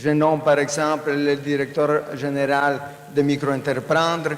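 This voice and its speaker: Amid noticeable background noise and audible room echo, a man with a fairly high pitch speaks at a very slow pace. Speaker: panelist, social finance network representative. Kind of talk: conference panel talk. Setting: conference stage with audience.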